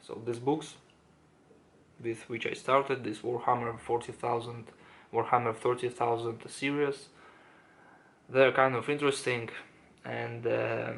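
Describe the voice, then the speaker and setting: A man with a non-native accent speaks at a medium pitch and a fairly slow pace, monotone and flat, with long, frequent pauses. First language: not English. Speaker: self-improvement YouTuber. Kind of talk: casual monologue to camera. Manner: halting, many fillers and restarts.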